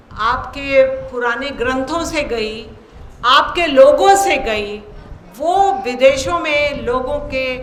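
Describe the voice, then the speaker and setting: A woman talks in a high voice with ordinary pitch variation. Noticeable background noise and audible room echo surround her. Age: 60s. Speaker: invited speaker at yoga seminar. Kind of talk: formal speech.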